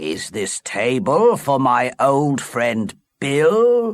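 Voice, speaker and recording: In a put-on character voice, a man speaks at a very slow pace and medium pitch on a very clean recording with a silent background. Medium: read story.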